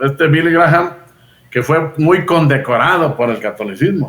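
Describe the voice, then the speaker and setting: A man has an unremarkable speaking voice with ordinary pitch variation. He talks at a fairly slow pace. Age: 60s. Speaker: Bible teacher. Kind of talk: casual chat.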